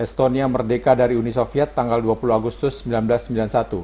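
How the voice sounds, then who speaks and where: Speaking in a dark, mellow tone with vocal fry, a man holds a monotone, flat intonation. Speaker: voice-over narrator. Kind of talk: scripted narration. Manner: formal.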